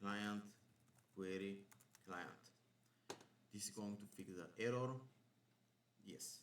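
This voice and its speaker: A man's fairly low voice at a moderate pace, ordinary pitch variation, and audible room echo. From Bulgaria. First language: Bulgarian. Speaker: programming instructor. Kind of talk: coding tutorial. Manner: thinking aloud while live debugging.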